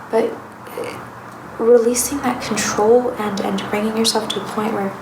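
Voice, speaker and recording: Against noticeable background noise, a soft-spoken woman talks at a moderate pace in a fairly high, monotone, flat voice. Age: young. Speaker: tarot reader. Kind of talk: soft-spoken ASMR tarot reading.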